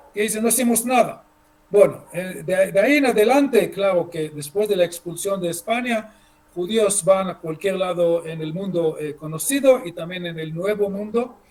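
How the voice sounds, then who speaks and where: Over noticeable background noise, a man with a high voice talks at a moderate pace, showing ordinary pitch variation and big swings in loudness. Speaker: history lecturer. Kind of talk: lecture. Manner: halting, many fillers and repeats.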